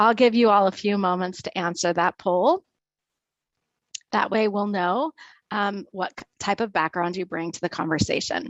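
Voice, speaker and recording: Speaking at a moderate pace with ordinary pitch variation, a woman leaves long, frequent pauses and makes big swings in loudness. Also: medium pitch for a woman. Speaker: webinar host. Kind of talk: webinar hosting. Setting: video call webinar.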